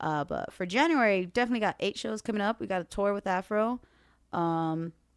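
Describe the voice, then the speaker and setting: In a very clean recording with a silent background and a dry, close sound with no echo, a woman with an American accent talks at a fairly quick pace in a medium pitch with lively intonation. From Texas border, Laredo. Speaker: singer-songwriter and rapper. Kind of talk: podcast interview.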